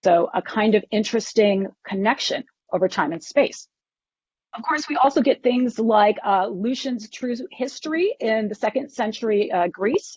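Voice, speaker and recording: A woman speaks with lively intonation at a fairly high pitch. Her voice is somewhat breathy. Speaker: professor. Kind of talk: lecture. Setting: conference talk to audience. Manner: fast.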